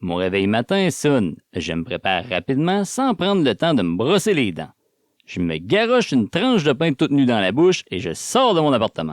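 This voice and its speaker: A man with a Quebec accent speaks at a medium pitch and a moderate pace, with very wide pitch swings. The recording is very clean, with a silent background and a dry, close sound with no echo. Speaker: audiobook narrator. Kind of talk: audiobook reading, first-person novel.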